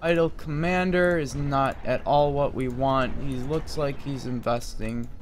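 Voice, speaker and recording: Light background noise behind a male speaker. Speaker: gamer streamer. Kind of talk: live game commentary. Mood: frustrated, losing. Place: home room.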